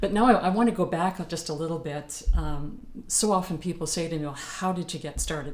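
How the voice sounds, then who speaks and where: Talking at a fairly quick pace, a woman is heard with audible room echo. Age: 60s. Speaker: professional singer. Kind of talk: talk to a group.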